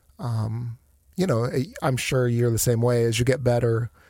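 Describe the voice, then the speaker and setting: A somewhat breathy man with an American accent speaks with ordinary pitch variation. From Northeast Ohio (Akron). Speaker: hospital finance executive. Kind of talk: casual interview. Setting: studio.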